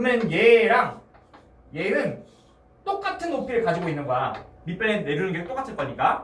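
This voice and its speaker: Someone talks fairly quickly while noticeable noise carries on in the background. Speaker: math tutor. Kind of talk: lecture. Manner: fast.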